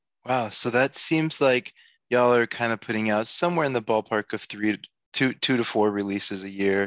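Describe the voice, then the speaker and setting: Against a quiet background, a man talks in an ordinary speaking voice at a moderate pace with ordinary pitch variation, recorded dry and close with no echo. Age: 40s. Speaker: podcast host. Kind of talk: casual interview.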